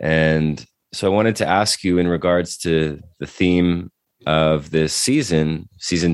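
A man's very deep, low voice at a fairly slow pace, with fairly even intonation. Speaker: podcast host. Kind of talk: interview conversation.

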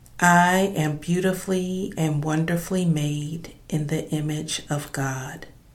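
A woman with a very deep, low pitch speaks in a soothing, calm tone at a very slow pace with hardly any pauses, over noticeable background noise. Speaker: meditation guide. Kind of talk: guided meditation. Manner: slow, calm; soothing, measured, with long pauses.

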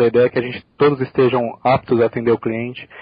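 A man talking very fast in a flat monotone at a medium pitch, with noticeable background noise. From Brazil, São Paulo. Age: 20s. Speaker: corporate trainee. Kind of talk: interview.

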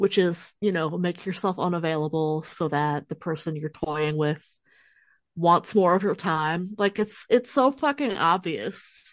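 Against a quiet background, a woman with a normal speaking voice speaks fairly slowly at a fairly low pitch, her intonation lively. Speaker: podcast co-host. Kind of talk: casual chat.

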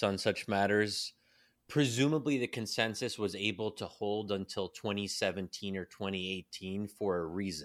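In an ordinary speaking voice with an American accent, someone talks at a fairly slow pace with ordinary pitch variation on a very clean recording with a silent background. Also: man. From US, Pennsylvania. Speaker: policy think tank fellow and author. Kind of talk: casual chat.

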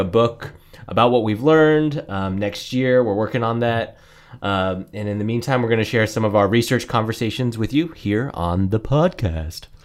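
This man has a normal speaking voice and an American accent, talking at a fairly quick pace. His pitch is medium, with ordinary variation. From Colorado, US. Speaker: podcast co-host. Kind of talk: casual chat.

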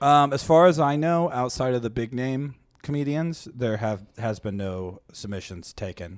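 A man's medium-pitched, ordinary speaking voice with an American accent, lively intonation and a moderate pace, in a very clean recording with a silent background. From Seattle area, US Pacific Northwest. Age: 20s. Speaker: stand-up comedian. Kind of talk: casual chat.

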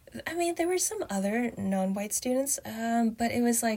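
The woman's voice is somewhat breathy. She keeps a moderate pace. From Canada. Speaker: writer and former software engineer. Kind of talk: casual interview.

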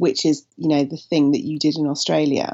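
Her pitch sits very deep and low. The woman keeps to a moderate pace. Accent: southern English. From Somerset, England. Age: 40s. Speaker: writer and comedian. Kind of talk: casual chat.

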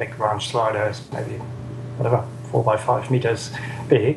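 Noticeable background noise and a man's medium pitch. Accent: German. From southern Germany. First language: German. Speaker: software developer and energy researcher. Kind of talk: interview.

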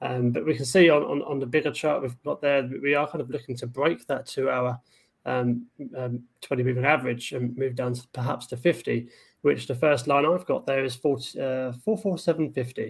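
This is an unremarkable speaking voice from a man. His pitch is medium, with ordinary variation. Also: moderate pace. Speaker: trading show co-host. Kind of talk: casual chat about stock charts.

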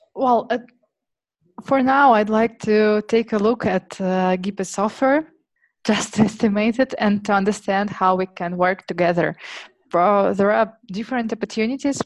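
Against a quiet background, a woman with a Russian accent speaks at a fairly high pitch and a fairly slow pace. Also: ordinary pitch variation. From Siberia, Russia. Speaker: startup marketing head. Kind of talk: interview conversation. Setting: remote call. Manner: hesitant, filler-heavy.

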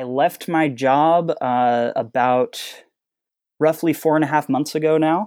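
Recorded very cleanly against a silent background with a dry, close sound and no echo, a man talks at a fairly slow pace with a fairly high pitch and ordinary pitch variation. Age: 30s. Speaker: interactive fiction author. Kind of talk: interview. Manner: halting, many fillers and repeats.

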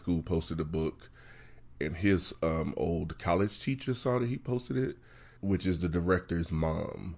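In a West Virginia accent, a man with a very deep, low pitch talks at a moderate pace over a quiet background. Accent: West Virginia, trouble with L sounds. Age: 30s. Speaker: novelist. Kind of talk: casual interview.

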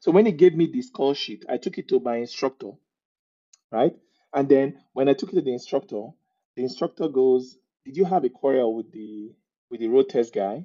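Speaking with a Nigerian accent at a fairly quick pace, a man with a fairly high pitch pauses long and often, and his loudness swings widely. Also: lively intonation. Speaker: immigrant guest. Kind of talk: casual interview chat.

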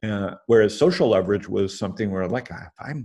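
Over a quiet background, a man with a normal speaking voice talks at a moderate pace, his fairly low pitch showing ordinary variation. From Canada. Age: 50s. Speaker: angel investor. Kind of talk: interview.

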